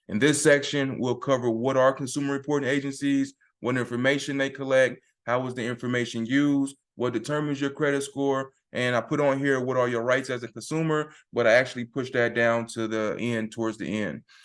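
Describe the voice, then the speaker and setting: Against a quiet background, a man talks at a fairly quick pace with a medium pitch. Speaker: credit repair consultant teaching a class. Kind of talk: online class tutorial with slides. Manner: fast, speeds up when excited.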